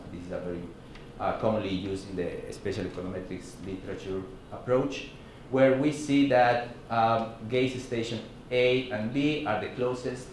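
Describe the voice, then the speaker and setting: A man speaks in a Mexican accent at a medium pitch with ordinary pitch variation. The room echo is audible, and there is light background noise. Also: moderate pace. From Mexico. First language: Spanish. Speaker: professor. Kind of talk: lecture. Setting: seminar room with audience. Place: classroom.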